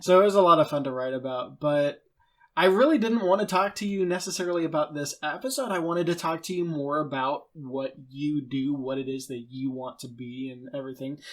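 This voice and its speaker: He has a plain, everyday voice, pitched fairly high for a man, with ordinary pitch variation. His pace is fairly quick, and his loudness swings widely. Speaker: podcast host. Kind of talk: interview question.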